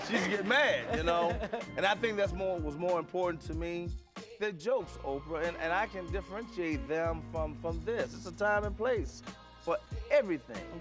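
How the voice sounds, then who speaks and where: Music is clearly audible behind the voice. The words come at a moderate pace. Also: man. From Chicago south side. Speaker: stand-up comedian. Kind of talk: interview answer. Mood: warm, amused, reflective. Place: studio.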